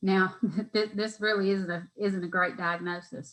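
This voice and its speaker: This is an ordinary speaking voice from a woman with an American accent. She talks at medium pitch and a moderate pace. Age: 40s. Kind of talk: interview answer.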